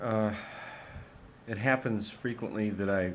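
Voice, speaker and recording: A fairly low male voice with ordinary pitch variation. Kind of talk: emotional webcam rant to camera.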